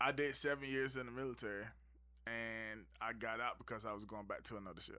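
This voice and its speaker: A man with an American accent, medium pitch, a plain, everyday voice, fairly even intonation and a fairly quick pace. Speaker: navy veteran and music maker. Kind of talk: casual chat. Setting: studio.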